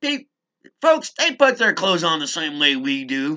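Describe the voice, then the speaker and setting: Very little sound is in the background. The speech moves very slowly. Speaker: legal self-help video maker. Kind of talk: casual instructional monologue. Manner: loud and clear; animated.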